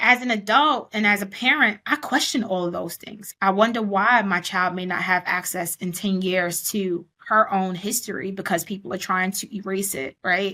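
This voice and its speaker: A woman in a Brooklyn accent speaks at a moderate pace with a medium pitch. Her tone is bright and sharp, with ordinary pitch variation. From New York City (Brooklyn), born in Panama. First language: Spanish. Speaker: educator and consultant. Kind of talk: interview conversation.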